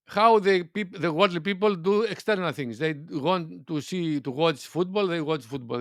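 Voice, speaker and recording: A man with a non-native accent speaks at a moderate pace with a fairly high pitch. His intonation is lively against a quiet background. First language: not English. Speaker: spiritual teacher. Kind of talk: spiritual talk. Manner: halting, searching for words.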